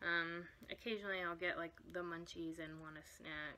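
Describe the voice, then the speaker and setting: A woman's fairly low voice, monotone and flat in intonation, at a moderate pace with light background noise. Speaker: vlogger. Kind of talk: casual vlog chat. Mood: candid, a bit wry. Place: home room. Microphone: phone near.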